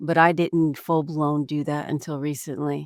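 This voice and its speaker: This woman has a very deep, low pitch and a dark, mellow tone, with a New Jersey accent. The recording is very clean, with a silent background. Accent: New Jersey American. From New Jersey, US. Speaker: executive coach and former real estate attorney. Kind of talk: podcast interview. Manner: talkative.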